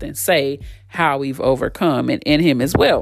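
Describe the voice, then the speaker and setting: Speaking with an American accent, a woman shows vocal fry while her pitch varies in a normal way. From Texas, Fort Worth. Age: 40s. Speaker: podcast host. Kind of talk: personal storytelling monologue.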